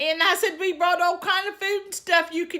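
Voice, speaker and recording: A woman speaks in a raised, projected voice with a strong Southern US accent. Her tone is bright and sharp, and her pace is moderate. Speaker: lifestyle vlogger. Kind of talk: storytelling. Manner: animated.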